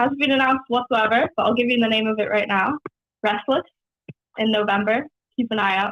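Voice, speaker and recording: A woman with a slight Canadian accent talks at a fairly quick pace with long, frequent pauses, fairly high pitch, fairly even intonation, and very even loudness. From New Zealand, Whangaparaoa; Canada until age 8. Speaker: singer-songwriter. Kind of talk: casual radio interview. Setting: phone call.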